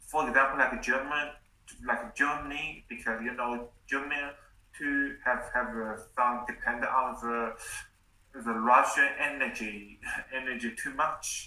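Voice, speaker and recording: Audible room echo surrounds a bright, sharp voice in a Chinese accent, delivered at a fairly slow pace with ordinary pitch variation. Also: man, medium pitch for a man. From China. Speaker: English learner. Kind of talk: casual chat. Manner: halting.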